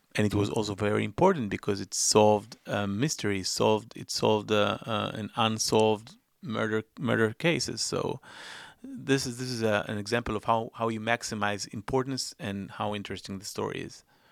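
Speaking with an Israeli accent, a man at a fairly low pitch keeps a moderate pace and fairly even intonation in a very clean recording with a silent background. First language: Hebrew. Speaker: investigative journalist and filmmaker. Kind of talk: interview. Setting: studio. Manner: halting.

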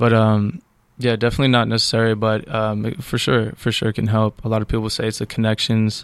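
In a very clean recording with a silent background, a man with an American accent and a normal speaking voice talks at a fairly quick pace, medium pitch and fairly even intonation. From upstate New York. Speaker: cinematographer. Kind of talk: casual chat.

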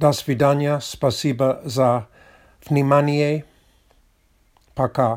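The speaker has a non-native accent and talks at a very slow pace. The intonation stays monotone and flat, broken by long, frequent pauses. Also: man, fairly high pitch for a man. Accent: foreign accent in Russian. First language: English (speaking Russian). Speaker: podcaster, Russian learner. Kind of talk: solo monologue. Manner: non-native, halting.

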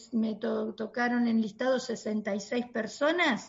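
A woman talks in a Rioplatense accent. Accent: Argentine Rioplatense Spanish. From Argentina. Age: 50s. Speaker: pediatrician. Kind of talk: interview. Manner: halting.

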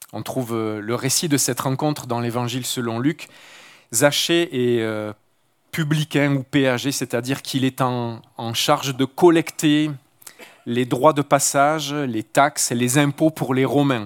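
Recorded very cleanly with a silent background and a dry, close sound with no echo, a man speaks at a medium pitch and a fairly slow pace with fairly even intonation. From Marseille, southern France. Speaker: mission worker and guest preacher. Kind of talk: sermon. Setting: church service with congregation. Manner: halting.

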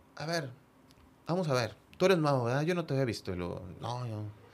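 Intonation is lively, and the pace is moderate. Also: man. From Monterrey, Mexico (San Nicolás). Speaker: football fan, supporters' group member. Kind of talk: casual interview, personal stories. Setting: studio with headphones.

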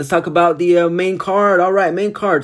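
The tone is animated. The pace is moderate. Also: man. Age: 20s. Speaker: MMA podcast host and grad student. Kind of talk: casual solo podcast monologue.

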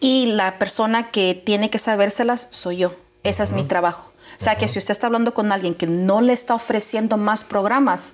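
A woman's animated, fairly high voice at a fairly quick pace, with ordinary pitch variation and noticeable background noise. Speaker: mortgage loan officer. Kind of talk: informational interview. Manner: fast.

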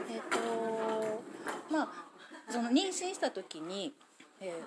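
A woman speaks at a fairly slow pace with a fairly high pitch. Noticeable background noise is present. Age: 40s. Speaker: mother. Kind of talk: interview.

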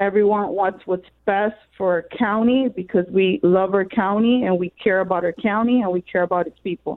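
With a plain, everyday voice, the speaker keeps a moderate pace, fairly even intonation and hardly any pauses. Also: woman, medium pitch for a woman. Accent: American. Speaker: caller, political candidate. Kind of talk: call-in comment. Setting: phone call.

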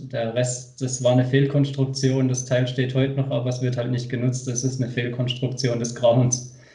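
A man talks at a moderate pace with hardly any pauses, in a medium-pitched, monotone, flat voice. Noticeable background noise runs underneath. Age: 20s. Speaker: skateboarder. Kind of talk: casual chat.

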